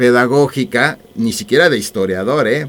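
Lively intonation marks a man's plain, everyday voice. His pitch sits at a medium level. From Mexico, Mexico City. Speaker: author. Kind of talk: radio interview.

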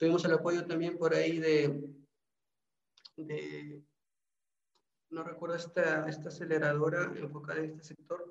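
A man speaks at a fairly slow pace with long, frequent pauses and big swings in loudness. His fairly high pitch stays monotone and flat, with audible room echo. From Peru, Trujillo. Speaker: business incubator coordinator. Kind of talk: interview. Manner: halting.

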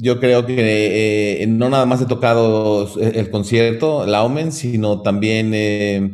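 A man's fairly low voice with fairly even intonation and a Mexican accent. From Mexico. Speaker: classical guitarist. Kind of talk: casual interview. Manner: hesitant, many fillers and repetitions.

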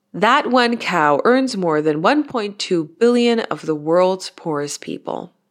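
Hardly pausing, a medium-pitched woman talks at a fairly slow pace with very wide pitch swings. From Austria (Tyrol). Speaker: career mentor podcast host. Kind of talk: solo podcast monologue. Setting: at home.

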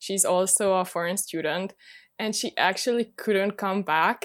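In a Hungarian accent, a woman talks at a moderate pace and medium pitch over a very clean recording with a silent background. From Hungary. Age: 20s. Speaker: student and YouTuber. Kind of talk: interview.

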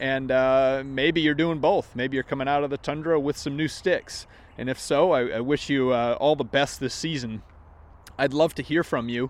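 A plain, everyday voice from a man with an American accent, fairly high in pitch, with fairly even intonation and a moderate pace. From Maine, US. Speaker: golf podcast host. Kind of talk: casual vlog-style monologue.

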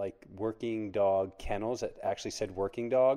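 Medium pitch from a male speaker, his intonation fairly even. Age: 30s. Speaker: former navy special forces operator, nonprofit founder. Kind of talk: casual interview. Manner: hesitant, many fillers.

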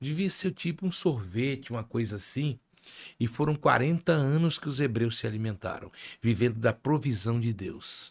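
A somewhat breathy man's voice of medium pitch with lively intonation, on a very clean recording with a silent background. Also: moderate pace. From Rio de Janeiro, Brazil (Penha). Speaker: carnival reveler and media personality. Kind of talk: casual chat. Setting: studio.

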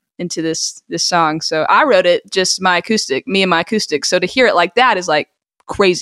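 A plain, everyday voice, a woman at medium pitch with an American accent talks at a fairly quick pace with ordinary pitch variation in a dry, close sound with no echo. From Georgia, US South. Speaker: singer-songwriter. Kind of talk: casual interview.

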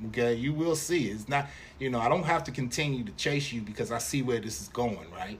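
A man talks at a fairly quick pace and medium pitch with lively intonation. Noticeable background noise and audible room echo come through. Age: 50s. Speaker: father of the host, podcast guest. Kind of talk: casual chat.

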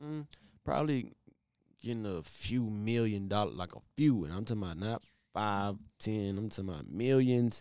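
The man has a plain, everyday voice with a fairly low pitch, lively intonation and a moderate pace. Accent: American. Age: 20s. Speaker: singer. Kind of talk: casual chat.

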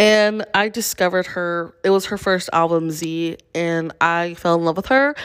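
A woman's fairly low pitch, an ordinary speaking voice at a moderate pace with ordinary pitch variation and hardly any pauses, on a very clean recording with a silent background. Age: 20s. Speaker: podcaster. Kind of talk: casual solo podcast update. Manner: rambling, chatty.

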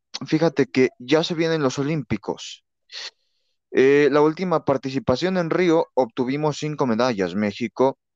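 Ordinary pitch variation and a moderate pace come through in a dry, close sound with no echo over a quiet background. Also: man. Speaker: sports podcast host. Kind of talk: casual sports talk. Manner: hesitant, many fillers and repetitions.

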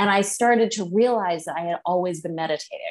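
In a quiet background, a woman with an unremarkable speaking voice talks at a medium pitch with ordinary pitch variation. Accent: American. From central Massachusetts. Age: 40s. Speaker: psychic and energy healer. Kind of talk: interview.

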